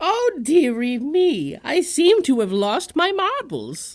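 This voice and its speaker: In a put-on character voice, this female-sounding speaker uses a high pitch for a woman, very wide pitch swings and a fairly slow pace. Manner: doddering, sweet, fussy.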